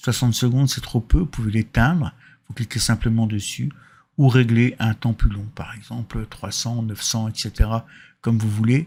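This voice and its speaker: Recorded very cleanly over a silent background, a man talks at a moderate pace and medium pitch. His voice is somewhat breathy, with big swings in loudness. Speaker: software tutorial maker. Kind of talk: tutorial. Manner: casual, with hesitations.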